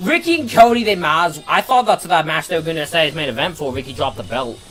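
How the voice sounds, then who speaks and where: Loud and at a very fast pace, a man with a fairly high pitch talks with very wide pitch swings as music plays in the background. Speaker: wrestling watch-along streamer. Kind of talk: live stream chat commentary. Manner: halting, repeats words.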